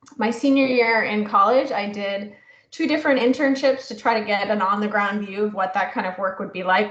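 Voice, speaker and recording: With audible room echo, a woman talks at a fairly quick pace and medium pitch, her intonation fairly even. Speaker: prevention scientist. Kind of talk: interview. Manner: loud.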